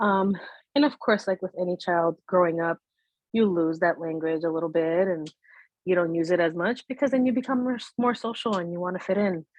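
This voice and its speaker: A woman speaks with a Spanish accent at a fairly low pitch and a moderate pace. Her pitch varies in an ordinary way. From United States, Spanish-speaking household. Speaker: bilingual Spanish teacher. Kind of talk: interview conversation. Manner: casual, many fillers (um, you know).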